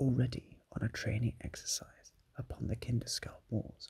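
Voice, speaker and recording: Everything here is whispered. It moves along at a fairly slow pace. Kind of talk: ASMR soft-spoken history narration. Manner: soft-spoken.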